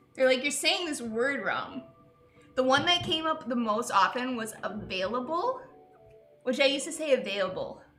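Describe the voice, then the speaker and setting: Over music in the background and audible room echo, a woman with an American accent talks at a moderate pace in a high voice with lively intonation. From Utah. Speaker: livestream host. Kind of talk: casual chat.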